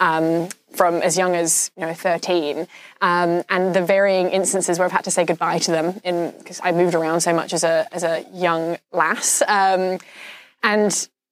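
A woman's fairly low, monotone voice with flat intonation and a fairly slow pace. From China (international school, Nanjing), born in Australia. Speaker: film director and actor. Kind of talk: interview.

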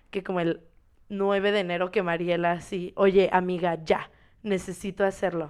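A woman speaking at a fairly slow pace, in a very clean recording with a silent background. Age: 20s. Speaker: podcast co-host, dancer. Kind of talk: casual chat.

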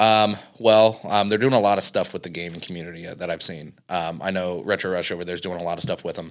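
Recorded very cleanly against a silent background, a man talks with a very deep, low pitch. He goes at a very fast pace with hardly any pauses. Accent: American. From Indiana, US Midwest. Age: 20s. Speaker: arcade and cafe owner. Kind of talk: casual interview.

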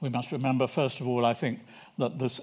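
A man is speaking. He talks with a British accent. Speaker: historian. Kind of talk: lecture. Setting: stage with audience. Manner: formal.

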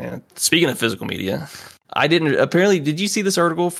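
Talking at a very fast pace, a man speaks with vocal fry. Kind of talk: casual chat.

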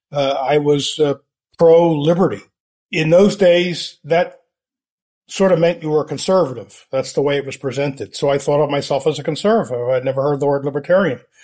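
With an American accent and a dark, mellow tone, a man speaks with ordinary pitch variation. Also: fairly high pitch for a man, fairly quick pace. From United States. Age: 70s. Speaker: libertarian author. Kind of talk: interview conversation.

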